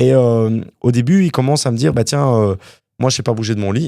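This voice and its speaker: A man with a dark, mellow tone talks at a very fast pace with lively intonation. The recording is very clean, with a silent background. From Quebec, Montreal (born in Wallonia, Belgium, moved at 9). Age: 30s. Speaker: property developer, entrepreneur. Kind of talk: interview conversation.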